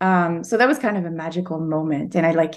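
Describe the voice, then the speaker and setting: Speaking fairly quickly with a Quebec accent, a woman is heard on a very clean recording with a silent background. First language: French. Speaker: novelist. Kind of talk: interview. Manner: halting.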